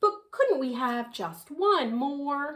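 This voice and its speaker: Soft-spoken, a woman puts on a character voice. Her pitch sits high. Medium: read story. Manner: dreamy, soft.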